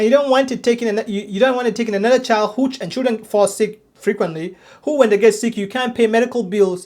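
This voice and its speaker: The speaker has a non-native accent and talks at a very fast pace. There are hardly any pauses. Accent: foreign accent, noticeable. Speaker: ministry teacher. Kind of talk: lecture. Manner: halting, many repetitions and restarts.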